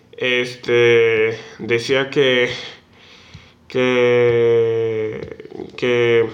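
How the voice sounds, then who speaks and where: Noticeable background noise is audible. A man talks through it at a medium pitch. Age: 19. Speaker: podcast co-host. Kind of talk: casual chat. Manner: halting, many fillers and repetitions.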